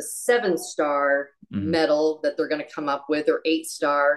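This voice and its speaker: In an ordinary speaking voice, a woman with a fairly low pitch talks at a moderate pace. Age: 50s. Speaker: amateur marathon runner. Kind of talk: casual chat.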